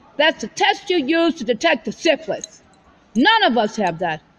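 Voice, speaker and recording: Very wide pitch swings are heard over noticeable background noise. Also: woman. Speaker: religious video blogger. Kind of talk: casual monologue. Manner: fast; halting, many repetitions.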